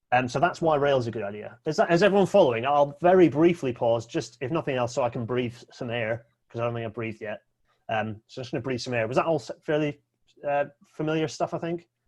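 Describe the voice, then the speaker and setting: Speaking at a very fast pace with a Scottish accent, a man keeps a medium pitch and ordinary pitch variation. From Scotland. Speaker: railway speaker. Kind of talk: presentation talk.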